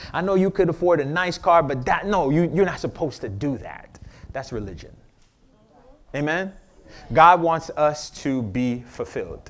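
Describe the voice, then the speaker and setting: With an American accent, a man with a fairly high pitch talks at a moderate pace, using lively intonation and long, frequent pauses. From Miami, Florida. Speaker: pastor. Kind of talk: sermon. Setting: church. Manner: animated; call-and-response.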